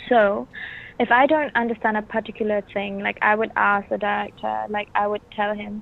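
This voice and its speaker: In a Bruneian accent, a woman speaks at a medium pitch and a moderate pace. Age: 20s. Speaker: actress. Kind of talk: interview. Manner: halting.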